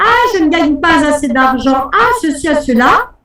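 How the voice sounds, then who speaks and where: With an animated tone and lively intonation, a woman speaks at a fairly slow pace. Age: 60s. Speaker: life coach and hypnotherapist. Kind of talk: live webinar coaching talk. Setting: online webinar.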